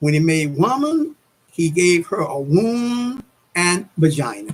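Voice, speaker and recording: A man is speaking. His pitch is high. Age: 70s. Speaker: YouTuber, religious talk. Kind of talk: casual monologue on religion. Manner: halting.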